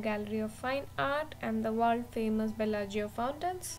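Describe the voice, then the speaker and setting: A woman speaks at a moderate pace while music plays in the background. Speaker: travel vlogger. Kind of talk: voice-over travel narration.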